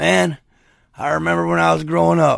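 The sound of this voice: This is a man doing a put-on character voice, very deep and low in pitch. It sounds raspy and moves at a fairly quick pace.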